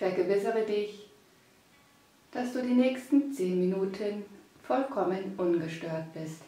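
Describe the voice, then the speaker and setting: A woman speaks very slowly at medium pitch, in a calm, gentle tone with lively intonation. Long, frequent pauses break her speech amid noticeable background noise. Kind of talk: guided meditation. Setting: studio, with background music. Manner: slow, soft and soothing, with long pauses; calm, gentle, hypnotic.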